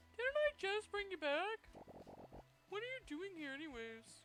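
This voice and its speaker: In a put-on character voice, the speaker squeaks at an extremely high pitch with very wide swings, at a moderate pace. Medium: game stream. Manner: dry, awkward humor.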